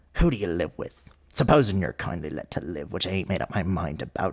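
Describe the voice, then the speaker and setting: In a put-on character voice with a rural English accent, a man growls in a gruff, very deep, low pitch, his tone menacing, his intonation lively and his pace fairly quick. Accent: rough rural English dialect. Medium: read story. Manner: gruff, menacing, growling.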